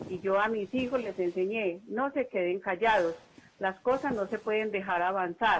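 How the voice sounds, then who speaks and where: Over noticeable background noise, a woman with a medium pitch speaks at a moderate pace with ordinary pitch variation. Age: 70s. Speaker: caller, retired nurse. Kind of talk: call-in testimony.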